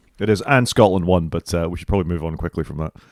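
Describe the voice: Recorded very cleanly against a silent background, a man speaks at a very fast pace with a low pitch and ordinary pitch variation.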